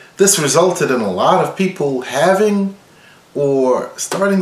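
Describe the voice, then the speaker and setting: A man speaks fairly slowly with lively intonation. The room echoes audibly, and background noise is noticeable. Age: 60s. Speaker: violin professor. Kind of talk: tutorial.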